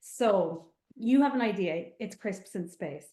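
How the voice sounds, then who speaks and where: Her pitch sits fairly high for a woman. She has lively intonation and an Irish accent. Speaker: animation screenwriter. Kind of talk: webinar presentation. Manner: animated.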